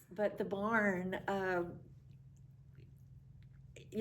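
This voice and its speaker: A woman speaks at a very slow pace with an American accent. Her pitch is medium. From Appalachian North Carolina. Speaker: retired school administrator. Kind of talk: oral history interview. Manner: reminiscing, conversational.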